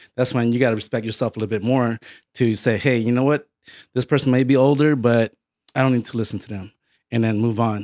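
Over a silent background in a very clean recording, a man with an American accent talks very fast with fairly even intonation. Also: medium pitch for a man. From Connecticut, US East Coast. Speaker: podcast host. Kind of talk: casual chat.

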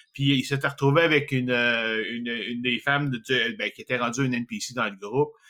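A bright, sharp tone with a Quebec accent. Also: man. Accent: Québécois French. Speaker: podcast host. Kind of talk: casual chat.

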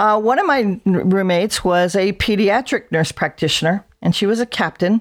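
An ordinary speaking voice with an American accent talks at a moderate pace with hardly any pauses. Its loudness stays very even and its pitch varies in an ordinary way, on a very clean recording with a silent background. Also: woman, medium pitch for a woman. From South New Jersey. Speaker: veteran nurse practitioner. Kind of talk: interview.

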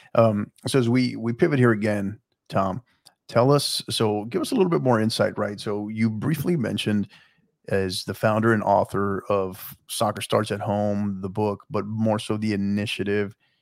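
A man with an American accent speaks in a plain, everyday voice at a fairly low pitch and moderate pace, with ordinary pitch variation. The recording is very clean, with a silent background. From Texas, El Paso. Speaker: podcast host. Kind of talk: interview.

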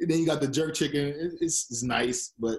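This man has a normal speaking voice and moves at a fairly quick pace. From New York (born Boston). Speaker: former athlete, Toronto resident. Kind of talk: casual interview.

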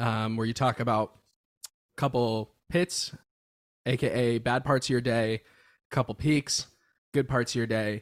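A man with an American accent at medium pitch, fairly slow and with long, frequent pauses, his intonation fairly even and loudness very even, in a dry, close sound with no echo. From Florida (near Miami). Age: 20s. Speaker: rock band vocalist. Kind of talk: casual chat. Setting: in person.

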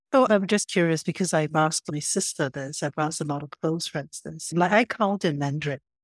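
The woman's pitch is very deep and low, with hardly any pauses. The recording is very clean with a silent background, and the sound is dry and close with no echo. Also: ordinary pitch variation. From Singapore. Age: 40s. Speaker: podcast host. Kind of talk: casual interview conversation.

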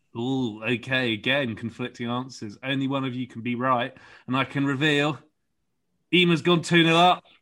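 A man with a London accent at a moderate pace, medium pitch and ordinary pitch variation. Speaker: podcast host. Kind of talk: casual chat. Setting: video call.

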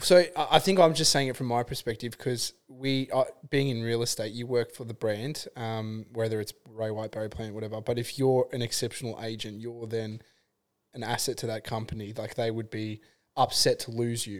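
The intonation stays fairly even as the man keeps a moderate pace. He has an ordinary speaking voice, pitched at medium. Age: 40s. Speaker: podcast host and real estate agent. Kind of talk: casual chat.

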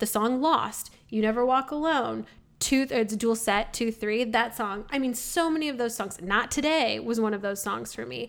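On a very clean recording with a silent background, a woman speaks at a moderate pace with a fairly high pitch and ordinary pitch variation. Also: hardly any pauses. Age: 30s. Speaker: podcast co-host. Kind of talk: casual chat. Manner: loud.

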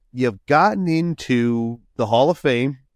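This man has an ordinary speaking voice with lively intonation. The recording is dry and close, with no echo and a quiet background. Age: 40s. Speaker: ski podcast host. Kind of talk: casual chat.

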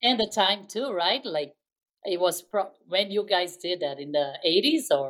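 Her pitch medium but swinging very widely, a woman speaks at a fairly slow pace. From Brazil. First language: Portuguese. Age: middle-aged. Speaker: podcast co-host. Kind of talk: casual chat.

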